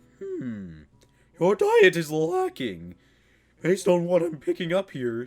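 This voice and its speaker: A man puts on a character voice pitched high. He talks at a fairly slow pace with long, frequent pauses. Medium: game stream. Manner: pompous, stern.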